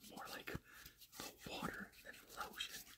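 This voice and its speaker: The man's speech comes out as a whisper. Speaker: ASMR creator. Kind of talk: ASMR personal attention, casual talk to camera. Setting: recorded on a phone without a mic. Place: home room. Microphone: phone near.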